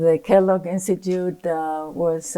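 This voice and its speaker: A woman speaks with a fairly low pitch and a dark, mellow tone. Her pitch varies in an ordinary way. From Argentina. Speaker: economist. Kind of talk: lecture. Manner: hesitant, many fillers.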